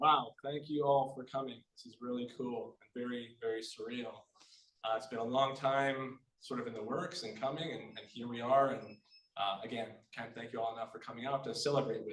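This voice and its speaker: A man with a Manitoba accent talks at a fairly quick pace in a medium pitch, his loudness swinging widely while his intonation stays fairly even. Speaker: author. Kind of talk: book launch reading and talk.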